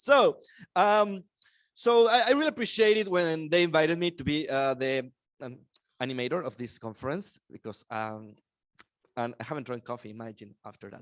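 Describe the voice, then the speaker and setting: A fairly high-pitched man with a Mexican accent at a moderate pace, with very wide pitch swings, big swings in loudness, and long, frequent pauses. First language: Spanish. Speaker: conference emcee. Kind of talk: conference opening speech. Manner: animated.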